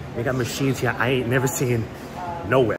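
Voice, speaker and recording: Against noticeable background noise, a man's words come out at a very fast pace. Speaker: fitness vlogger. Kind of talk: casual vlog chat. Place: gym. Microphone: phone near.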